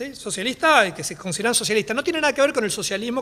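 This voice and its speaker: A man's raised, projected voice at an extremely high pitch, with very wide pitch swings. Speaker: historian, panelist. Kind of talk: academic talk. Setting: panel talk at a library. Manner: fast.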